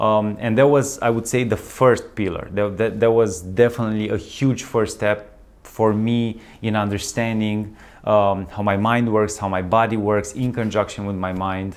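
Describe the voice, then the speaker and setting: A man with a slight non-native accent speaks in a fairly low pitch with monotone, flat intonation. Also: moderate pace. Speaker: wellness coach, channel host. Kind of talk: casual vlog monologue. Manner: halting, many fillers and restarts.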